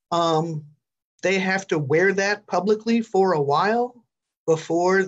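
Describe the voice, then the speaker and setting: Very slow pace from a woman, with a quiet background. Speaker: talk show guest. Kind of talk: live online talk show discussion. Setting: video call. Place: office. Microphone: video call.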